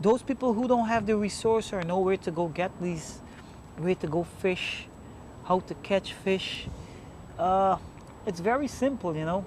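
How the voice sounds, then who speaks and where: A man talks at a high pitch and fairly slow pace, with ordinary pitch variation and long, frequent pauses. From Guyana. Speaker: fisherman. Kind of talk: documentary interview answer. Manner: charismatic.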